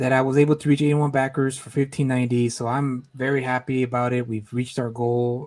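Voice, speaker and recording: Quiet and fairly quick, a man speaks in a medium pitch with fairly even intonation. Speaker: comic book creator and streamer. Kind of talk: live stream chat. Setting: at home, live stream. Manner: speaking quietly.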